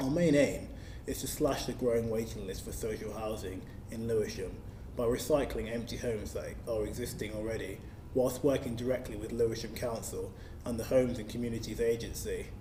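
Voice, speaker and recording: A man with a London accent speaks at a fairly quick pace in a medium pitch with fairly even intonation, and audible room echo surrounds him. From South East London. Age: 20s. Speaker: local councillor. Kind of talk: scripted manifesto speech. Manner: formal.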